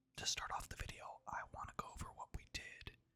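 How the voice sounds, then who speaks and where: Someone is whispering at a moderate pace. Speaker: ASMR gaming YouTuber. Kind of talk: whispered ASMR gaming commentary. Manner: soft-spoken, whispering.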